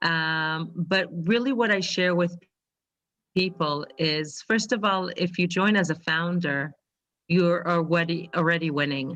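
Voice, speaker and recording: Speaking at a fairly slow pace, a woman with a fairly low pitch keeps her loudness very even and her pitch variation ordinary. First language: Hebrew. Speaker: financial advisor. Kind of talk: testimony. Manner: halting.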